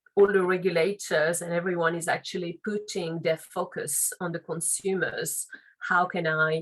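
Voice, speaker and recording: Monotone and flat, a woman with a fairly low pitch speaks in a French accent. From France, Paris. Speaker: legal and compliance officer. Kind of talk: interview.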